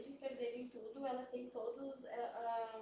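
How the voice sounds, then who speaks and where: A high-pitched woman's voice amid audible room echo and noticeable background noise. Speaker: biologist. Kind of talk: live stream panel talk. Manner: soft-spoken; hesitant, many fillers. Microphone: quiet at first, mic moved.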